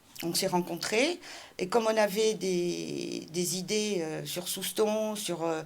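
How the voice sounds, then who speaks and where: A woman talks at a very slow pace, her medium pitch marked by vocal fry. Her intonation stays fairly even. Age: 60s. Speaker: local politician, municipal candidate. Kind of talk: interview. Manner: hesitant, many fillers.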